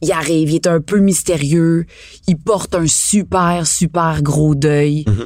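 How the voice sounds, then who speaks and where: This woman talks with a Quebec accent in a fairly low pitch, her intonation moving in an ordinary way. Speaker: podcast co-host, actor. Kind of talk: casual chat.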